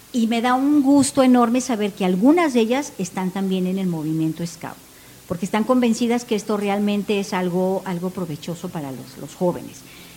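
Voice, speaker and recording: Noticeable background noise accompanies a woman with a medium pitch. Her intonation is lively. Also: moderate pace. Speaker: scout leader. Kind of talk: casual chat.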